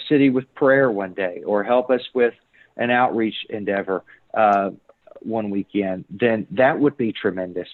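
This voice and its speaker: Here a man talks in a Kentucky accent at a moderate pace. His pitch varies in an ordinary way. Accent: noticeable Kentucky. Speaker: church planter, missionary. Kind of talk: church Q&A interview.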